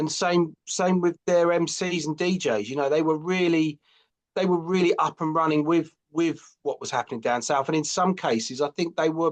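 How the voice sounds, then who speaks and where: Against a quiet background, a man talks at a moderate pace. His pitch is fairly high, with ordinary variation. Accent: London. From London. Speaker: author and graphic designer. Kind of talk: podcast interview.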